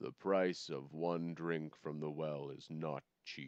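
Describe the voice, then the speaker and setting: A soft-spoken man's put-on character voice, very deep and low in pitch. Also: fairly slow pace, fairly even intonation. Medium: read story. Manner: soft-spoken, grave.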